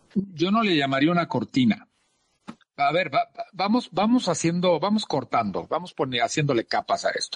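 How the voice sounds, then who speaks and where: A man with a fairly high pitch and very wide pitch swings, at a moderate pace, in a dry, close sound with no echo. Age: 40s. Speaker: speaker and author. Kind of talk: casual interview chat. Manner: animated.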